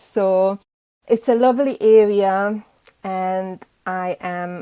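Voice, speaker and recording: A woman with a Hungarian accent has a dark, mellow tone, captured in a dry, close sound with no echo. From Hungary, Budapest. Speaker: beekeeper. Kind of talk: interview.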